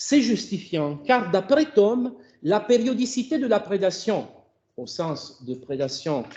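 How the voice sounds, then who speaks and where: A man with an Italian accent speaks at a very slow pace in a high pitch. His loudness swings widely, and his pitch swings very widely. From Italy. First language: Italian (speaking French). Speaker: philosophy of language professor. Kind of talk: academic seminar talk. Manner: halting, with self-corrections.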